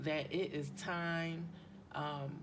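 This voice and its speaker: In audible room echo, a woman speaks with a fairly low pitch and vocal fry. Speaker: tarot and chakra reader. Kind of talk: spiritual card reading. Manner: hesitant, many ums; loud.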